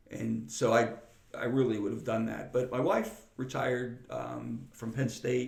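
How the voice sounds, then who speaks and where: Audible room echo surrounds the voice of a man. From western Pennsylvania, Freeport. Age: 60s. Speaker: retired air force chief master sergeant and teacher. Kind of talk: interview conversation. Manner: halting, many repeated words.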